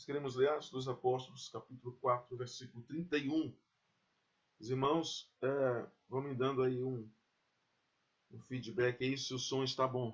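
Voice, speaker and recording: A man at medium pitch talks fairly slowly and flatly, with long, frequent pauses and big swings in loudness. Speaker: pastor. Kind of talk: sermon.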